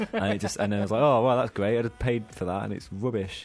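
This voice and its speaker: The speaker, with a British accent, talks over music in the background. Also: man. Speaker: podcast co-host.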